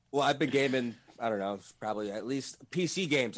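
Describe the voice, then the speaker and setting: Speaking fairly quickly with ordinary pitch variation, a man has a normal speaking voice. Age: 20s. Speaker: video game streamer. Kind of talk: casual chat. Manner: fast, filler-heavy.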